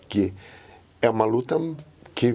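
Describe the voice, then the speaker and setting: A man with a dark, mellow tone and a somewhat breathy quality talks at a moderate pace, his intonation lively. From Portugal and São Paulo interior. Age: 80s+. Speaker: interviewee telling his life story. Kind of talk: oral history interview. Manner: reflective, with many fillers.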